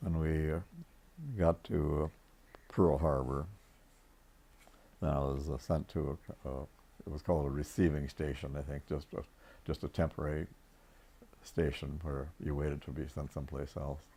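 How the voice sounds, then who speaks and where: A man's very deep, low voice with a dark, mellow tone, vocal fry, monotone, flat intonation, a moderate pace, and long, frequent pauses. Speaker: World War Two navy veteran, naval electrician. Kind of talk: interview answer.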